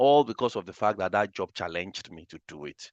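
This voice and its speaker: A man with a Nigerian accent, talking very fast in a fairly low voice, pitch moving a normal amount, the sound dry and close with no echo against a quiet background. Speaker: data analytics trainer. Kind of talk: webinar lecture. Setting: live online webinar. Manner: animated.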